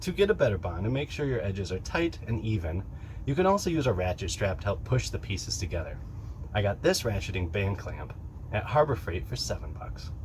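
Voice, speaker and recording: A man's fairly quick speech with very wide pitch swings. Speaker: woodworking youtuber. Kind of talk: tutorial. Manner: fast.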